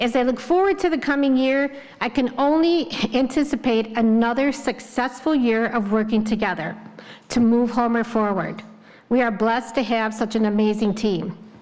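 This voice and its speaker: Her voice sits high in pitch. Background noise is noticeable throughout. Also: ordinary pitch variation, moderate pace, very even loudness. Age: 60s. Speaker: village trustee. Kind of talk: public board meeting report. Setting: village board meeting.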